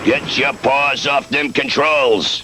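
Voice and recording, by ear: A man puts on a cartoonish character voice, pitched fairly high. Clear background noise runs under him.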